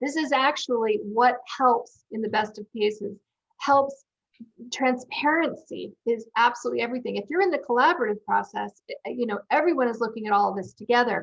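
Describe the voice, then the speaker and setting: A woman talks at a fairly quick pace. Her pitch is high, with ordinary pitch variation. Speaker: software company CEO and co-founder. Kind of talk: webinar interview. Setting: webinar. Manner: fast.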